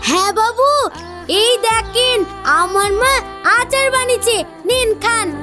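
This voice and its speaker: A woman puts on a character voice at an extremely high pitch, speaking at a fairly slow pace with clear music in the background. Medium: comedy sketch. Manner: rustic, familiar.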